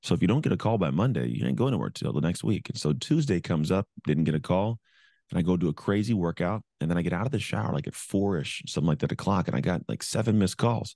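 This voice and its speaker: A dark, mellow voice with vocal fry moves very fast and swings very widely in pitch. The sound is dry and close with no echo, over a quiet background. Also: man, very deep, low pitch for a man. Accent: American. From California. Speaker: motivational speaker, former pro football player. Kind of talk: interview, storytelling.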